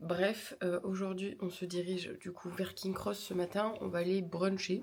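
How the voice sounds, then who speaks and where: A woman speaks very slowly. Her pitch is fairly low. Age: 20s. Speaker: vlogger and streamer. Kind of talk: travel vlog talking to camera. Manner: casual, hesitant with many fillers.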